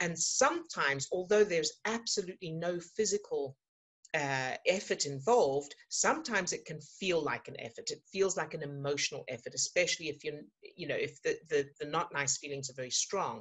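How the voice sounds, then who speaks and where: Against a quiet background, a woman talks at a fairly quick pace in a somewhat breathy, fairly low pitch, with lively intonation and big swings in loudness. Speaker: emotional fitness coach. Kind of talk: coaching talk to online group. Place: home room. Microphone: webcam.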